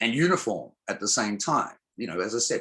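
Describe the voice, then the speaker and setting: A man speaks with an Australian accent at medium pitch. His pace is moderate, and the background is quiet. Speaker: songwriter, music producer, spoken word poet, DJ. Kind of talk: interview answer. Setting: video call. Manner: hesitant, repeats words.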